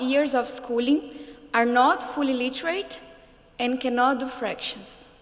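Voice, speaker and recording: Against noticeable background noise, a woman speaks at a fairly slow pace with a high pitch and fairly even intonation. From Brazil, São Paulo. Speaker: politician and education activist. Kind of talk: prepared speech.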